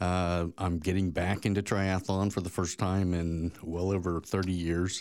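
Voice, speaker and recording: A man with a very deep, low pitch speaks fairly slowly in a monotone, flat way, with hardly any pauses. His loudness stays very even on a very clean recording with a silent background. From Oklahoma, Tulsa. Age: 50s. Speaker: spinal injury survivor and triathlete. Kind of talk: personal testimony.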